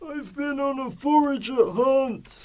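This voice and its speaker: A man performs a put-on character voice. His pitch is extremely high. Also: fairly slow pace. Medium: stage play. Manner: warm, enthusiastic storyteller.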